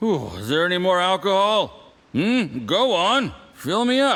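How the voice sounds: Using a put-on character voice, a man speaks at a fairly slow pace with a high pitch, a fairly bright tone and big pitch swings.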